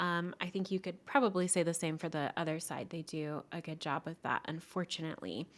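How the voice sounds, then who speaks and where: On a very clean recording with a silent background, a woman with a bright, sharp tone speaks at a moderate pace and a fairly low pitch. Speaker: podcast co-host and copywriter. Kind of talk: casual chat.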